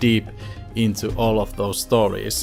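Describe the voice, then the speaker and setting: A man with a Finnish accent at a moderate pace, with music in the background. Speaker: YouTuber, cancer survivor. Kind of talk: casual talk to camera, storytime.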